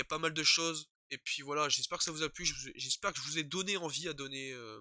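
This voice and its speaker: A man's fairly high, bright, sharp voice at a very fast pace, with a dry, close sound and no echo. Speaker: YouTuber, TV series reviewer. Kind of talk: casual video review. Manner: halting, many hesitations; informal slang.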